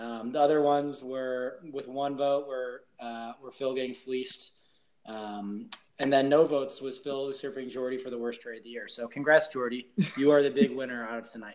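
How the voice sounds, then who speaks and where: A man with a plain, everyday voice, medium in pitch, fairly even in intonation, at a moderate pace. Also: big swings in loudness. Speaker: fantasy league member. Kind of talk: casual chat.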